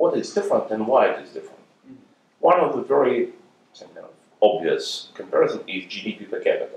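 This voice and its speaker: A man talking at a fairly quick pace. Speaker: audience member asking questions. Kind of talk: question and answer. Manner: halting, hesitant.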